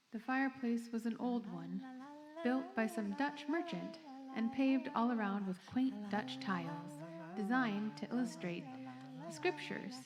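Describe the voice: The speech moves at a fairly slow pace with ordinary pitch variation over faint background noise. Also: woman, fairly high pitch for a woman.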